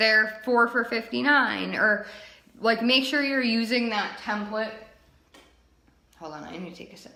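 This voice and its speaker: A woman's fairly high voice with ordinary pitch variation and audible room echo. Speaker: direct sales team leader. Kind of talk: training webinar. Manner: casual, filler-heavy.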